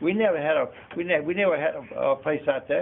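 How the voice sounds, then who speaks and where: A man with a Southern US accent talks at a very fast pace. Noticeable background noise is present. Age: 80s+. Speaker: property owner. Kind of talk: public meeting comment. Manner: halting.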